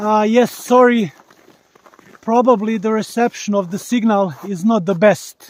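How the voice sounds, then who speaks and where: Spoken in a Balkan accent at a fairly slow pace with fairly even intonation. The recording is very clean, with a silent background. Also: man. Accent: Balkan accent, strong rolled r. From Bosnia. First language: Bosnian (Slavic). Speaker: live streamer. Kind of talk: live stream commentary on nature walk. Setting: outdoors in forest, mobile stream. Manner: halting, with fillers.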